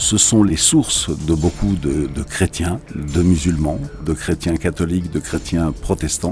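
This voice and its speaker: The speech moves at a very slow pace with ordinary pitch variation. Background noise is noticeable throughout. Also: man, very deep, low pitch for a man. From Algeria. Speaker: cultural institute director. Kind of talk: radio interview.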